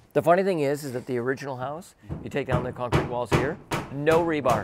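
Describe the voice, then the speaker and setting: Against loud background noise, a man speaks at a very fast pace with ordinary pitch variation, the sound dry with no echo. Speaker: builder host. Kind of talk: casual on-site walkthrough chat. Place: street.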